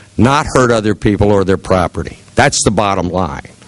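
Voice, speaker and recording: Through noticeable background noise, a man with a fairly low pitch and ordinary pitch variation talks at a fairly quick pace in an American accent. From Ohio, Seneca County. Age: 60s. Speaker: political candidate. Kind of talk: campaign speech. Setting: meeting with audience. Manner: earnest.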